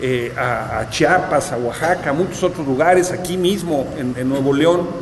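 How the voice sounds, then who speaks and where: The speech moves at a moderate pace with ordinary pitch variation, with noticeable background noise and audible room echo. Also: man. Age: 60s. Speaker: author. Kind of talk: book presentation talk. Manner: halting, many fillers.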